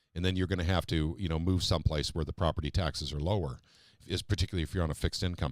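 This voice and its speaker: A man talks very fast in a very deep, low voice with fairly even intonation, on a very clean recording with a silent background. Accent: American. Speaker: political talk show host. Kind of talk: live-stream political talk show.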